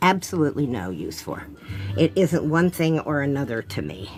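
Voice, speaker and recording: A woman speaks with a very deep, low pitch and very wide pitch swings. Music plays in the background. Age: 70s. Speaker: artist. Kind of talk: casual chat. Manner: chatty, thinking aloud.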